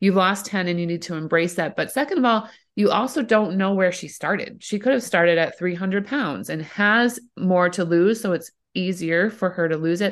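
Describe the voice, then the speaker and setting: A woman speaks with an ordinary speaking voice at medium pitch and a moderate pace. Her pitch variation is ordinary, and the background is quiet. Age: 40s. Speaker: entrepreneur and mom with multiple sclerosis. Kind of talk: casual chat.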